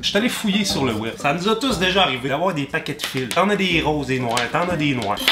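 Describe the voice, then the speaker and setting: Fairly quick speech with very wide pitch swings in a Quebec accent, over noticeable background noise. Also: man. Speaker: comedian youtuber. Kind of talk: comedic vlog tutorial. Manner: animated.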